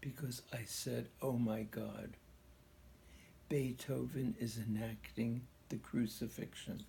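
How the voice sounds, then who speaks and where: A man speaking at a very slow pace, with long, frequent pauses. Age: 90s. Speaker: pianist. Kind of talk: interview.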